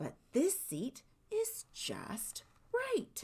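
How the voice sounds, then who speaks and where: Extremely high pitch in a put-on character voice. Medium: read story. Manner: simple, picky.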